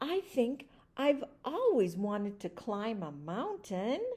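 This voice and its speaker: In a put-on character voice, a woman speaks at a fairly slow pace with a fairly high pitch and very wide pitch swings. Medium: read story. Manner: wondering, gentle.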